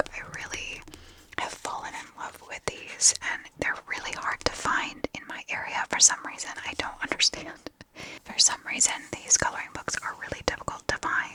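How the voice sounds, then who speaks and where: A woman whispers with big swings in loudness against noticeable background noise. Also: moderate pace. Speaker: ASMR vlogger. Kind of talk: casual talk to camera, vlog voiceover. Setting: recorded on location and in a home studio, airplane noise in background. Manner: whispered, soft-spoken.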